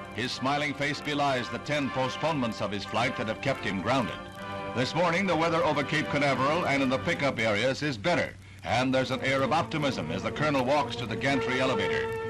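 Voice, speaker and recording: Over music in the background, a man talks at a very fast pace in a medium-pitched voice with ordinary pitch variation. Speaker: newsreel narrator. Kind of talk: newsreel voiceover.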